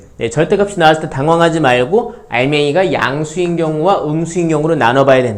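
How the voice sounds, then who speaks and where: A fairly high-pitched man with lively intonation at a fairly quick pace and hardly any pauses, amid noticeable background noise and audible room echo. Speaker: math teacher. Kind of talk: lecture. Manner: fast.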